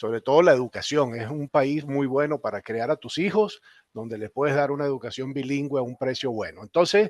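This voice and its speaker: With a Venezuelan accent, a man talks at a fairly quick pace in a fairly high pitch, showing ordinary pitch variation and big swings in loudness. The sound is dry and close with no echo, set against a quiet background. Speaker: company general manager. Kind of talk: panel discussion.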